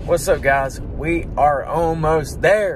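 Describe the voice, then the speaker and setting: Against noticeable background noise, a man speaks very slowly in a dry sound with no echo. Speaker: vlogger. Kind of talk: casual vlog chat. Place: car. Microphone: phone near.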